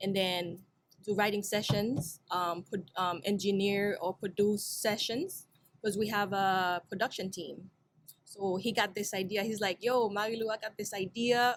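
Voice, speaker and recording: Speaking at a fairly slow pace, a woman talks with a Haitian accent. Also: medium pitch for a woman, fairly even intonation, very clean recording, silent background. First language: Haitian Creole. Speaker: singer, rapper and producer. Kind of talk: interview. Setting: studio.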